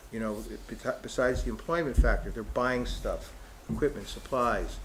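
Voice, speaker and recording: Audible room echo around a man's fairly quick speech. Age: 60s. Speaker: economic development consultant. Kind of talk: public meeting presentation. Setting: in-person town hall meeting. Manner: halting, many fillers and restarts.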